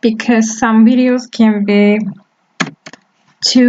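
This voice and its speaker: A woman in a Turkish accent speaks at a very slow pace, fairly high in pitch with a monotone, flat intonation. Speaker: web development teacher. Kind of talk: tutorial.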